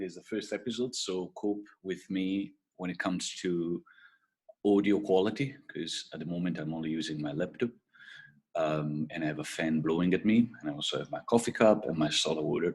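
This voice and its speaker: Someone with an Italian accent talks at a fairly quick pace, the pitch varying in an ordinary way. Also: man, very deep, low pitch for a man. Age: 40s. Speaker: podcast host and entrepreneur. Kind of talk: casual solo podcast intro. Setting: video call recording. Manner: halting, many fillers. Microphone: laptop mic.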